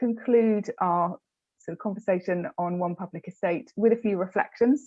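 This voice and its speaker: A woman speaks in a British accent. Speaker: public sector programme officer. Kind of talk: webinar presentation.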